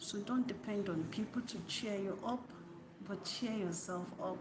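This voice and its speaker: A soft-spoken woman at a fairly slow pace, with ordinary pitch variation, audible room echo and noticeable background noise. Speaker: YouTuber. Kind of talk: motivational talk. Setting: at work, green screen.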